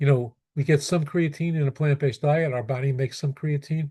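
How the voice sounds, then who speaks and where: A man with an American accent talks at a fairly quick pace in a fairly high pitch. His tone is dark, mellow and somewhat breathy, with a quiet background. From New York (Brooklyn). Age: 70s. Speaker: pediatrician. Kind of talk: Q&A answer. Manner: halting, many repetitions.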